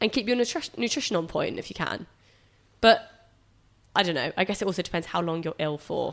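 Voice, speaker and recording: Talking at a fairly quick pace with a British accent, a woman with a medium pitch and lively intonation leaves long, frequent pauses. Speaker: podcast co-host, online fitness coach. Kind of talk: casual chat.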